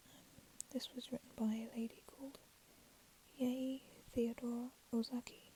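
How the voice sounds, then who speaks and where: Whispering and soft-spoken, a woman leaves long, frequent pauses while her loudness swings widely. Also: moderate pace. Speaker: ASMR storyteller. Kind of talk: casual introduction to viewers. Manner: soft-spoken, whispered.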